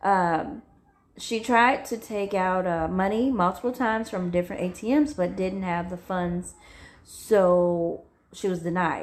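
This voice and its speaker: Using ordinary pitch variation, a woman speaks at a medium pitch and a fairly slow pace. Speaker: true crime storyteller. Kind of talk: casual true crime storytelling. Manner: loud, carrying voice; halting, many fillers.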